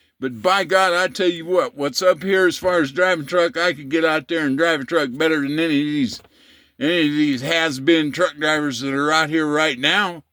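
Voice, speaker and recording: Speaking with an American accent, a man with a fairly high pitch and a bright, sharp tone talks at a moderate pace with ordinary pitch variation in a very clean recording with a silent background. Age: 60s. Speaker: vlogger, retired truck driver. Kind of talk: casual rant to camera. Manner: animated; repetitive, stumbling.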